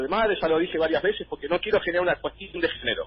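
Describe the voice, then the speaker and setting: Here a man talks at a very fast pace. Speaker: parent rights activist. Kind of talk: interview answer.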